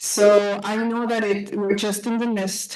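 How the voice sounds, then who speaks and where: A woman with a Spanish accent speaks fairly slowly in a flat monotone at a medium pitch, with noticeable background noise and audible room echo. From Calistoga, California. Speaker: parent speaking at public comment. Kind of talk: public comment. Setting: public board meeting.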